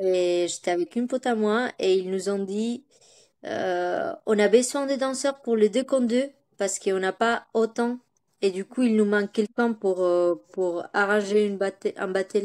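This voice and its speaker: In a Spanish accent, a woman with a medium pitch speaks at a fairly slow pace, with ordinary pitch variation. Her loudness swings a lot, and the recording is very clean, with a silent background. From Spain, Bilbao, Basque Country. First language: Spanish (speaking French). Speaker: dancer. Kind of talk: interview. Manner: halting, many hesitations.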